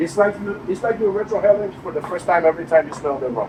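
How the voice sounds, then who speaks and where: Over noticeable background noise, a man with a Dominican accent talks in a high pitch. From Dominican Republic. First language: Spanish. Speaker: cigar maker presenting at a tasting event. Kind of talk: live tasting presentation to an audience. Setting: cigar lounge event with audience.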